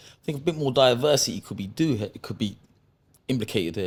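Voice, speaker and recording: The speaker is a man with a London accent. He talks at a fairly quick pace. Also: very clean recording, silent background. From London, Acton, West London. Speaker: professional boxer. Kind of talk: casual podcast interview.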